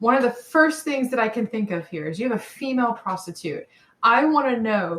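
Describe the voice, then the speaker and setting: A woman with an American accent speaks in a fairly high, somewhat breathy voice with lively intonation. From US South, mid Georgia. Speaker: podcast co-host. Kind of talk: casual chat.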